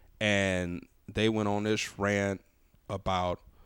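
In an animated tone and an American accent, a man speaks at a fairly slow pace on a very clean recording with a silent background. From US South, Louisiana (New Orleans area). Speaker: stand-up comedian. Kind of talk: casual chat.

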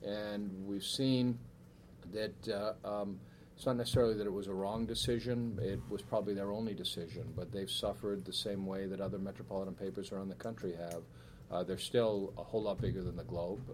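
Fairly quick, lively speech from a man with an American accent, fairly low in pitch, with audible room echo. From Boston area, Massachusetts (Weymouth). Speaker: newspaper editor. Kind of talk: talk and Q&A at a speaker series. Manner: hesitant, many fillers.

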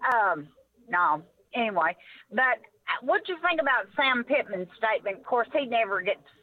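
A woman with an Arkansas accent speaks at a fairly high pitch and moderate pace, her pitch swinging very widely while her loudness stays very even, with long, frequent pauses. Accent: Southern US (Arkansas). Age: 60s. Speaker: caller. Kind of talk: call-in sports talk.

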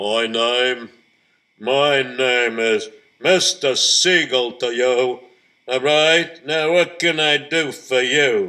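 A gruff, put-on character voice from a man, medium in pitch, at a very slow pace. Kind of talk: curt, officious. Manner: mean, gruff.

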